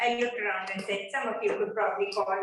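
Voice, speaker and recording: The voice makes very wide pitch swings, and audible room echo surrounds it. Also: woman. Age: 70s. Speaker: seminar speaker and author. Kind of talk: lecture.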